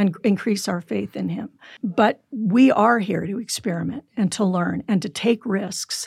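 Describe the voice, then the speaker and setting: A woman with an American accent talks at a fairly slow pace, her medium pitch showing ordinary variation and some vocal fry. The sound is dry and close, with no echo. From California. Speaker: psychologist. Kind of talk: interview.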